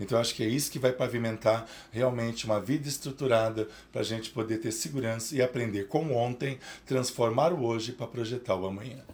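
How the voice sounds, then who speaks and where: Fairly even intonation runs through this man's fairly quick talk. There is a somewhat breathy quality to his voice. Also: medium pitch for a man. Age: 50s. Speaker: psychoanalyst. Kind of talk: interview.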